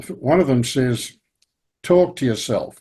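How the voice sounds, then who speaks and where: This man speaks with an Australian accent. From Australia, Victoria. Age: 80s+. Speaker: retired statistics professor. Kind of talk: interview, life story. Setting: video call. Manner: halting.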